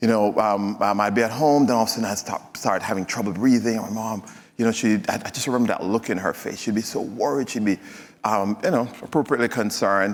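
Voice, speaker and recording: With a Jamaican accent, a man speaks at a very fast pace and medium pitch with ordinary pitch variation. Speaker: physician and health executive speaker. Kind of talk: stage presentation. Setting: stage with audience. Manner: hesitant, many fillers.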